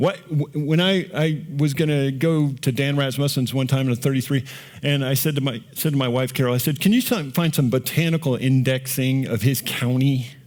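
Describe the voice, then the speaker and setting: A man speaks in a normal speaking voice, fairly high in pitch with fairly even intonation. His loudness stays very even, with hardly any pauses. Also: moderate pace. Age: 60s. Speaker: rancher and conference speaker. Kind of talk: conference talk. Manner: casual, conversational.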